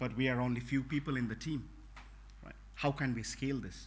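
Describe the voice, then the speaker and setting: A man with a non-native accent at a moderate pace, amid audible room echo. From Bhutan. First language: not English. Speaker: network technology trainer. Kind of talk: conference talk. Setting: conference room with audience. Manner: halting, many fillers.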